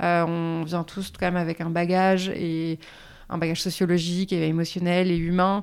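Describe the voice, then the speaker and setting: A woman's fairly low voice at a moderate pace, flat and monotone, on a very clean recording with a silent background. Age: 30s. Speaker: writer and feminist activist. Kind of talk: interview.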